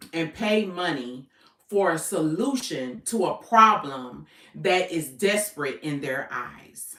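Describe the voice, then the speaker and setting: Speaking at a very slow pace, a woman uses a medium-pitched, bright, sharp voice with very wide pitch swings. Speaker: business coach. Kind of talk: livestream talk. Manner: casual, conversational.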